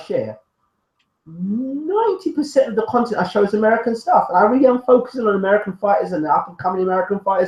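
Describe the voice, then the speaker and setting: A man with a British accent talks very fast at an extremely high pitch. His intonation is lively. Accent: UK. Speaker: boxing YouTube show host. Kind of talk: casual chat. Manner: animated.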